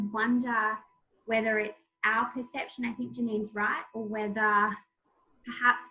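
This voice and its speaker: At a moderate pace, a woman with an Australian accent speaks in a fairly high, bright, sharp tone with fairly even intonation. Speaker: crime journalist and debut novelist. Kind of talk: author talk, answering audience.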